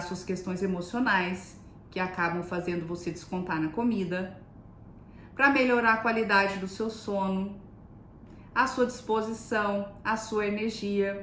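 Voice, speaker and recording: Audible room echo surrounds a woman's voice. She talks at a fairly slow pace with fairly even intonation. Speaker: nutritionist. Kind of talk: live stream talk. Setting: live stream.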